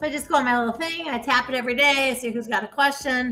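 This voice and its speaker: Noticeable background noise surrounds a woman speaking with an American accent at a high pitch and a fairly quick pace. Her tone is animated, with ordinary pitch variation. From US Midwest, Ohio. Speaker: real estate investor and coach. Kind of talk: casual interview chat.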